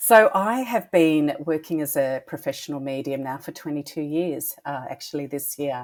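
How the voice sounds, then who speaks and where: With an Australian accent, a woman speaks at a moderate pace, her loudness swinging widely. Her pitch is very deep and low, with ordinary variation. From Australia, Melbourne. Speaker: psychic medium. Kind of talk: podcast interview.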